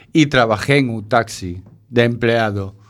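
A man speaks very slowly, his pitch moving in an ordinary way. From Galicia, northern. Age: 50s. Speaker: shelter resident, former taxi driver and cook. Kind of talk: interview. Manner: halting.

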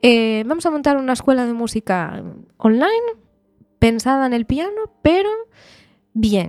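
At a moderate pace, a woman with a high pitch makes very wide pitch swings and leaves long, frequent pauses, in a very clean recording with a silent background. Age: 20s. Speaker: pianist and music teacher. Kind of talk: radio interview.

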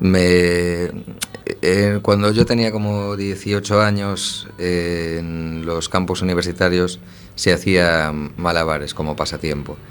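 Music plays in the background as a man speaks at a very slow pace. His very deep, low voice has fairly even intonation. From A Coruña, Galicia, Spain. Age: 30s. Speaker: circus juggler. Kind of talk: radio interview.

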